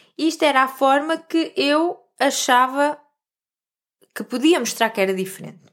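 A woman's high voice with lively intonation, a moderate pace, and long, frequent pauses. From central Portugal (Vieira de Leiria). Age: 30s. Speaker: holistic coach and podcast host. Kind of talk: personal storytelling monologue.

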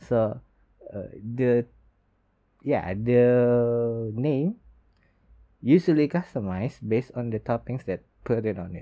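The speech comes at a very slow pace with long, frequent pauses, in an Indonesian accent. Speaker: podcast host. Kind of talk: solo podcast talk. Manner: halting.

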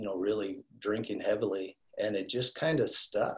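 Ordinary pitch variation marks this man's somewhat breathy voice. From Wyoming. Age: 50s. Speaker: accountability coach in recovery. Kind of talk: casual interview.

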